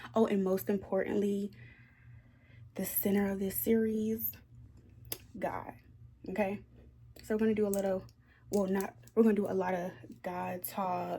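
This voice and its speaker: A woman's somewhat breathy, dark and mellow voice at medium pitch, with fairly even intonation, a moderate pace and long, frequent pauses. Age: 20s. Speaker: lifestyle vlogger. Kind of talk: casual vlog talk to camera. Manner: chatty, with fillers.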